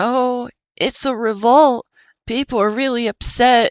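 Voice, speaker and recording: In a very clean recording with a silent background, a female-sounding voice puts on a whiny, high-pitched character voice at a fairly slow pace. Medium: read story. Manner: whiny, hesitant.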